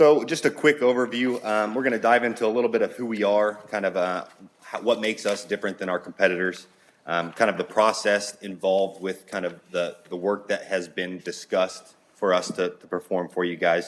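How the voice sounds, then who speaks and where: A man talks at a fairly quick pace, his fairly low pitch showing ordinary variation. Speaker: financial advisor. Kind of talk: business presentation. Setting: council meeting with microphone. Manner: many filler words.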